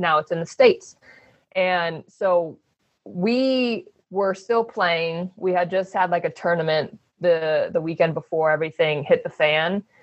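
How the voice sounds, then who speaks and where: A woman speaks in an American accent at a fairly low pitch. She has an unremarkable speaking voice, a fairly slow pace and ordinary pitch variation. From US, Phoenix, Arizona. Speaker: professional basketball player. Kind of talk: interview.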